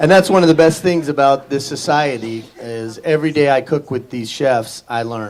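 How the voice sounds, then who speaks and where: A man at a moderate pace with big swings in loudness and hardly any pauses, music playing in the background. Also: fairly high pitch for a man, ordinary pitch variation. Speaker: chef. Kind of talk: short speech to guests. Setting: dinner party with guests. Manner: usually very loud; talking quietly today.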